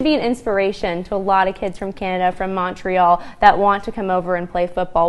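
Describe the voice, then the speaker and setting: At a fairly quick pace, a woman talks in a medium pitch with an unremarkable speaking voice. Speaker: sports anchor and reporter. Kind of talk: sideline interview questions. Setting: outdoors, sidelines.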